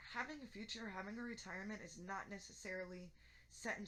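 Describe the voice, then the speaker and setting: Bright, sharp-toned woman's voice at medium pitch, very fast, with audible room echo. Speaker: tarot reader. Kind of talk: tarot reading. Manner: monotone.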